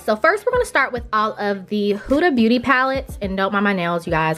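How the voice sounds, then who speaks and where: Music plays behind a woman at medium pitch. She speaks at a fairly quick pace in an animated tone. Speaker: beauty vlogger. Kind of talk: casual tutorial-style tour. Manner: fast.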